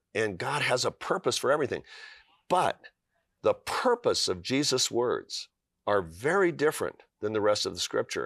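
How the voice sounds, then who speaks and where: At a moderate pace, a man speaks in a dry, close sound with no echo, in a very clean recording with a silent background. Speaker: author.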